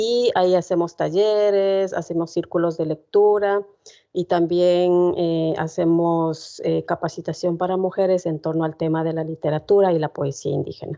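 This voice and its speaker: With an Ecuadorian accent, a woman speaks at a moderate pace in a dark, mellow, fairly low voice with fairly even intonation. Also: quiet background. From Ecuador, Otavalo (Kichwa community). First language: Kichwa (speaking Spanish). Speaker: poet. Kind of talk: talk to university class. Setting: university classroom with audience. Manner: many filler sounds (eh, em).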